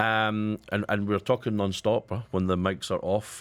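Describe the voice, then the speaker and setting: Very clean recording over a silent background, a man with a Scottish accent and a fairly low pitch. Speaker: radio co-host, company managing director. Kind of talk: radio panel discussion.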